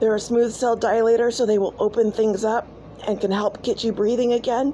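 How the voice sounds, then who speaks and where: Against noticeable background noise, a woman speaks at a fairly quick pace in a fairly high pitch and a monotone, flat intonation. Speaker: homesteading channel host. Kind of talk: tutorial. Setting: outdoors in the woods. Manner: casual, conversational.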